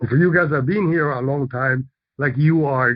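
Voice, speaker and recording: A man with a fairly high voice talks at a moderate pace, his pitch varying in an ordinary way. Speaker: real estate investor and teacher. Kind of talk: lecture. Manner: animated.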